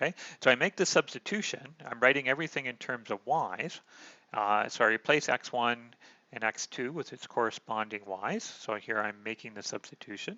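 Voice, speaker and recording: Speaking fairly quickly, a man has an ordinary speaking voice at medium pitch. His intonation is lively and his loudness swings widely. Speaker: math lecturer. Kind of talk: lecture. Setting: online recorded lecture.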